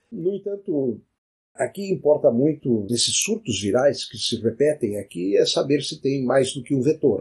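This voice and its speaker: Somewhat breathy, a medium-pitched man speaks at a fairly slow pace with lively intonation. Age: 70s. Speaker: physician and science podcaster. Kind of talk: solo educational monologue.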